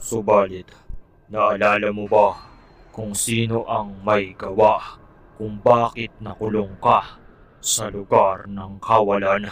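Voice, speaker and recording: A man's cartoonish character voice at a very slow pace. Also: fairly low pitch for a man. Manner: solemn, grave.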